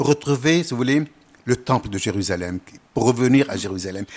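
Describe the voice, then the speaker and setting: Lively intonation marks a man's speech, which moves at a moderate pace. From Lebanon. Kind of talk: interview. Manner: hesitant.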